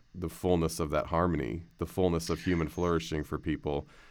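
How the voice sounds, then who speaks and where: This man has a very deep, low pitch and a fairly even intonation, speaking at a moderate pace with an American accent. The recording is very clean, with a silent background. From US, Canadian family. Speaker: pastor and podcast host. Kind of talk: casual interview chat.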